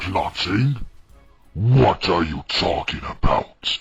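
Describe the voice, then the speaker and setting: A man's put-on character voice, fairly low in pitch and very slow, over background music. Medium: audio drama. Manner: arrogant, hostile.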